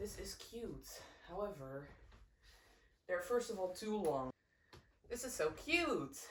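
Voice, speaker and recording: In a room with audible echo, a woman with a Dutch accent speaks somewhat breathily, her pitch swinging very widely. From Netherlands. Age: 20s. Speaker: crochet vlogger. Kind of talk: casual chat. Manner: animated.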